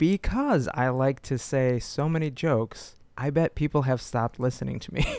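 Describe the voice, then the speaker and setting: The sound is dry and close with no echo, and the speech moves at a moderate pace with ordinary pitch variation. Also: man, medium pitch for a man. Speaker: podcast host. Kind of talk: casual comedic chat.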